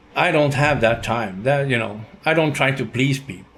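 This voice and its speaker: This man has a Swedish accent and a medium pitch. He speaks at a moderate pace with ordinary pitch variation. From Sweden. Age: 60s. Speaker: YouTuber, retiree. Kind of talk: casual monologue vlog. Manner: halting.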